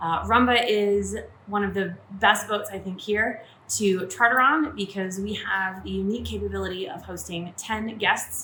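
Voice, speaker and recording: A woman's speech unfolds at a moderate speed, with background noise clearly heard. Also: big swings in loudness. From Maine, USA. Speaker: yacht chef and first mate. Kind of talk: casual talk to camera.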